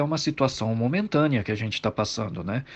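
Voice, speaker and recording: A man talks in a plain, everyday voice. He moves at a fairly quick pace with ordinary pitch variation. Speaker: political commentator. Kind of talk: casual chat.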